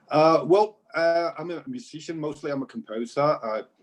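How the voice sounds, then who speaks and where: Lively intonation marks a man's speech at a moderate speed. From Mexico. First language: Spanish. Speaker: composer and music teacher. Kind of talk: casual interview chat. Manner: halting, many fillers.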